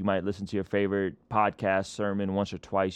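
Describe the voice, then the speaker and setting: An ordinary speaking voice from a man, fairly low in pitch and at a fairly quick pace, over a quiet background. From San Diego, California (born in former Soviet Union). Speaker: hip hop artist and record label owner. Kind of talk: casual interview.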